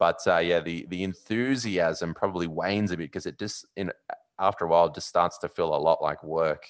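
A man with an Australian accent speaks at a very deep, low pitch and a moderate pace. His pitch varies in an ordinary way against a quiet background. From Australia, Sydney. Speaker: sports TV presenter and podcaster. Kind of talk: casual interview chat.

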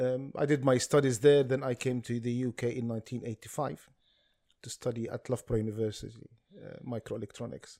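In an Arabic accent, a man with a dark, mellow tone and medium pitch talks at a fairly quick pace with fairly even intonation and big swings in loudness, the sound dry and close with no echo. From Palestine (Ramallah, West Bank). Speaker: public speaker on Palestine. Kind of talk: casual chat.

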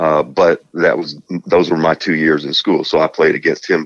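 A man speaks with a Southern US accent in a dry, close sound with no echo. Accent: Southern US country drawl. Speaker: basketball analyst. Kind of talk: casual chat.

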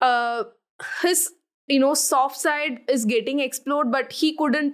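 At a fairly slow pace, a woman speaks with a high pitch, ordinary pitch variation and very even loudness. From Tamil Nadu, India. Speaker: history YouTuber. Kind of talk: casual chat. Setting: studio.

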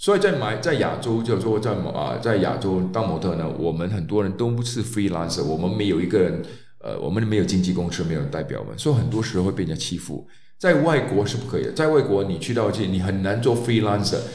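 Audible room echo surrounds a man who talks at a fairly quick pace, fairly low in pitch, with lively intonation. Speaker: former male model. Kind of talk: solo storytelling podcast. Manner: halting, many fillers.

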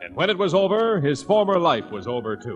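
A man with a fairly high pitch and big pitch swings

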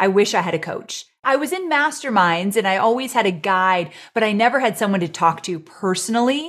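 A woman with an unremarkable speaking voice, medium in pitch, at a moderate pace with lively intonation. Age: 40s. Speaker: online business entrepreneur and author. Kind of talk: casual chat.

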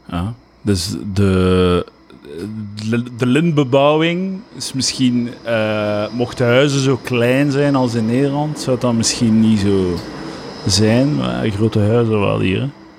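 Over noticeable background noise, the voice moves at a very slow pace with lively intonation. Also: man, medium pitch for a man. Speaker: podcast host. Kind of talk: casual chat.

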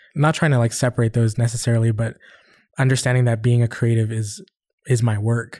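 A man with a Canadian accent talks at a fairly quick pace in a medium pitch, his tone dark and mellow and somewhat breathy. The intonation is fairly even, and the recording is very clean with a silent background. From Western Canada. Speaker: musician and producer. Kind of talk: casual interview.

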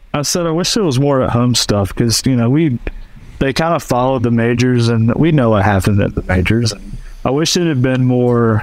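A plain, everyday voice at a fairly quick pace, with very even loudness and ordinary pitch variation. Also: man, medium pitch for a man. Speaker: golf equipment tour rep. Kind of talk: casual chat.

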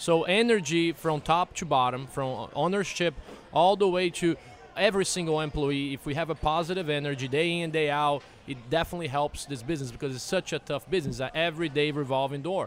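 With a Portuguese accent, a man speaks fairly quickly at a fairly high pitch. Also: ordinary pitch variation. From Brazil. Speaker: bar owner. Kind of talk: casual interview.

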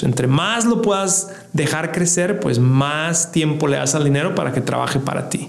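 At a moderate pace, a man with a fairly high pitch and ordinary pitch variation talks in a room with audible echo and noticeable background noise. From Mexico, Ciudad Juárez. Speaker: financial podcast host, investment expert. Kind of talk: educational monologue. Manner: repeats words, self-corrects.

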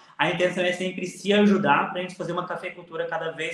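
A man with a high voice speaks amid audible room echo. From Alta Mogiana, São Paulo state, Brazil. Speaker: coffee farmer and social media influencer. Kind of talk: interview.

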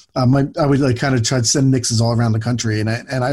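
Somewhat breathy and at a fairly quick pace, a man with an American accent speaks at a medium pitch with fairly even intonation. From Philadelphia. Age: 40s. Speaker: podcast co-host. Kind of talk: casual chat.

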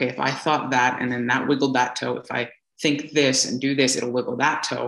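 Speaking with an American accent, a man has a medium pitch, a bright, sharp tone and vocal fry. His intonation is monotone and flat, and his pace is fairly quick. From US, California Bay Area. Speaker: entrepreneur and public speaker. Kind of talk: interview. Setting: remote call.

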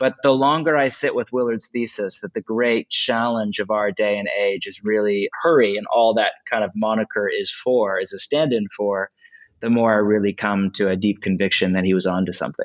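A man's ordinary speaking voice, fairly low in pitch, at a moderate pace with ordinary pitch variation and hardly any pauses. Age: 40s. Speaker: pastor and author. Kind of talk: podcast interview.

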